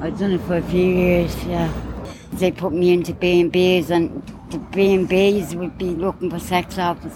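Against noticeable background noise, a woman with a Dublin accent talks at a fairly low pitch and a fairly slow pace, with monotone, flat intonation. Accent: Irish, Dublin. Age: 40s. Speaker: recently released detainee. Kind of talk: street interview.

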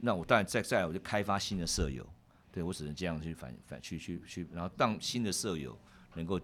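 Lively intonation and vocal fry mark this man's very deep, low voice as he talks at a fairly quick pace. The recording is very clean, with a silent background. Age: 50s. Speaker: securities executive and university lecturer. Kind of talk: interview conversation. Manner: halting, frequent word repetition.

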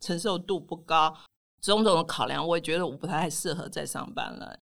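On a very clean recording with a silent background, a woman with a fairly low pitch and vocal fry speaks at a moderate pace. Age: 60s. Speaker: personal finance author. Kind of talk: interview.

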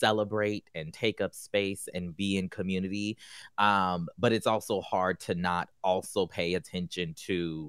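With hardly any pauses, a man speaks in a plain, everyday voice with an American accent, his pitch fairly low and his intonation fairly even, in a dry, close sound with no echo on a very clean recording with a silent background. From South Carolina. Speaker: journalist and author. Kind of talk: roundtable discussion.

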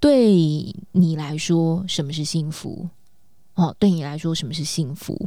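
At a very slow pace, a woman with a fairly low pitch and a dark, mellow tone talks with ordinary pitch variation and big swings in loudness. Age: 40s. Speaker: podcast co-host and life coach. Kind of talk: casual chat. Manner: animated.

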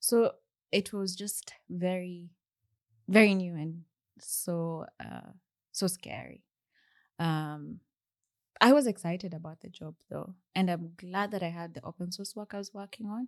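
A woman with a Kenyan accent, medium in pitch, at a fairly slow pace, with long, frequent pauses and big swings in loudness. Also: ordinary pitch variation, dry, close sound with no echo. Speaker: software engineer. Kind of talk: podcast interview. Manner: halting.

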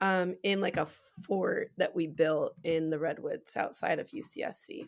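Very slowly, a woman speaks with a West Coast US accent. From US Pacific Northwest (Spokane, Washington). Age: 30s. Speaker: singer and performer. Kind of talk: casual chat.

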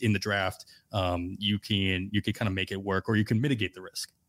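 Moderate-paced speech from a man, very cleanly recorded against a silent background. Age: 30s. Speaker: podcast host and fantasy baseball analyst. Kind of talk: casual chat. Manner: hesitant, many fillers.

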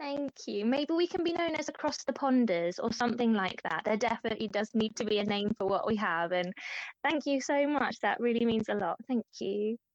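Using a plain, everyday voice, a woman speaks at a fairly quick pace. Her fairly high pitch carries lively intonation. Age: 30s. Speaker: anorexia recovery advocate. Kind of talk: interview.

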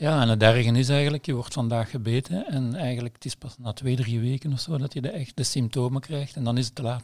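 A man speaks at a medium pitch and a fairly quick pace, somewhat breathy, with ordinary pitch variation and hardly any pauses. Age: 60s. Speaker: nutritionist and epidemiologist, editor. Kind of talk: casual chat.

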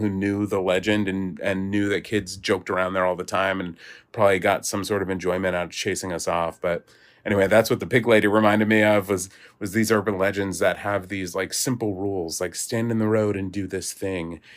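Over a silent background in a very clean recording, a man uses an ordinary speaking voice with a fairly low pitch, fairly even intonation, and a fairly quick pace. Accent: American. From New Jersey. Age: 30s. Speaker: podcast host. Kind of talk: scripted narration.

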